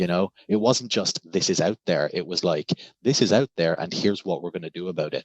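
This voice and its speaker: This speaker has a Cork accent and talks at a fairly quick pace. The pitch varies in an ordinary way. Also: man, very deep, low pitch for a man. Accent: Irish (Cork). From Ireland, Cork. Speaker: scholar and writer. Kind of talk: casual interview chat.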